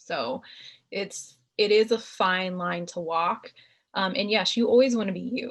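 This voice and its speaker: Here a woman speaks at a medium pitch. Her voice is somewhat breathy. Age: 30s. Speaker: marriage and family therapist. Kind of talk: career talk Q&A with youth.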